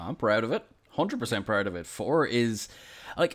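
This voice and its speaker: A man talks with an Irish accent. His intonation is lively. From Ireland. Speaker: podcast host. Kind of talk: casual chat. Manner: halting.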